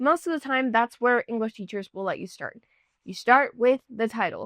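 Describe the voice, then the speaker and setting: A woman speaks in a dry, close sound with no echo and a quiet background. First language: not English. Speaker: YouTuber, music commentator. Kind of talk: lyric analysis video. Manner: casual, chatty.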